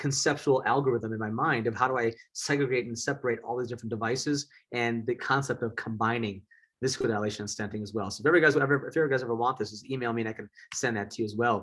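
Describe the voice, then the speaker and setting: An American accent marks this man's medium-pitched voice. He speaks at a very fast pace with ordinary pitch variation. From US Midwest, southeast Wisconsin. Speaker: eye surgeon. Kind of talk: lecture.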